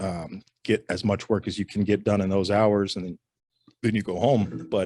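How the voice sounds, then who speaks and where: A soft-spoken man talks at a moderate pace with fairly low pitch. His intonation is monotone and flat, and the recording is very clean with a silent background. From Rhode Island. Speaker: insurance agent. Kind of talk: interview. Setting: studio.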